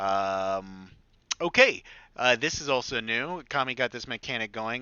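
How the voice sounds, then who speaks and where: A man uses a normal speaking voice at a medium pitch and a fairly slow pace. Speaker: game mod developer. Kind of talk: gameplay tutorial walkthrough. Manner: casual, filler-heavy.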